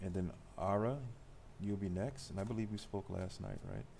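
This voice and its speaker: A man speaks with a fairly low pitch and a dark, mellow tone at a moderate pace. His intonation is fairly even, and the room echo is audible. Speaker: tarot reader. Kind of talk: live tarot reading. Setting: live stream.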